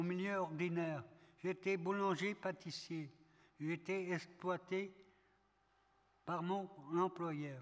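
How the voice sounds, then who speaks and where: A man at a high pitch, with very even loudness, fairly even intonation, a very slow pace and long, frequent pauses. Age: 60s. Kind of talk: testimony at round table.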